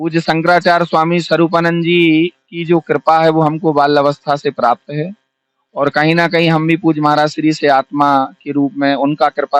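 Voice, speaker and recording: Hardly any pauses break this man's normal speaking voice, fairly high in pitch with fairly even intonation. The sound is dry and close with no echo. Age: 30s. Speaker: Bhagwat katha preacher. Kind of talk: interview.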